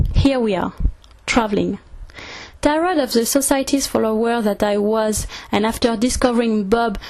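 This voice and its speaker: A woman speaks with a French accent at a fairly high pitch, her pitch varying in an ordinary way. Background noise is noticeable. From France, Orléans. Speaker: travel video maker. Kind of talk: scripted narration.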